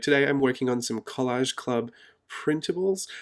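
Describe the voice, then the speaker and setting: A man speaks quietly. He has an Australian accent. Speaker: art journaling YouTuber. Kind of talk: casual vlog narration. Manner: low-key, quiet.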